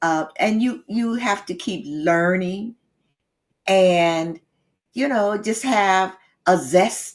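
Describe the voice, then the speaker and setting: Her pace very slow, a woman speaks at a medium pitch with lively intonation. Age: 80s+. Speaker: relationship coach and author. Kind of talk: interview. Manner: energetic.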